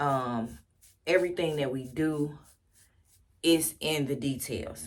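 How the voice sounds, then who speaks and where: Audible room echo surrounds this recording. A woman speaks with a very deep, low pitch. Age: 50s. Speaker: youth center founder and ministry leader. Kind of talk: casual personal vlog talk. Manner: slow; halting, repeats words.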